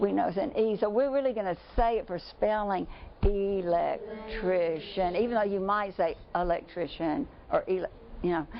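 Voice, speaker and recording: Over music in the background, a woman with an American accent talks at a moderate pace, medium in pitch with ordinary pitch variation. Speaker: speech-language pathologist. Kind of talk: workshop teaching. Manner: animated.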